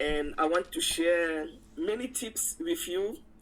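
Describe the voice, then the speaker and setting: A woman with a French accent speaks at a medium pitch, her voice making very wide pitch swings. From Cameroon. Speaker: insurance and wealth advisor. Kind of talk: live interview.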